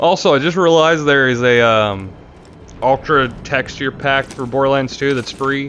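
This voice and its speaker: A medium-pitched male voice with ordinary pitch variation over noticeable background noise. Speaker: gaming YouTuber. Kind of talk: let's play commentary. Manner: fast.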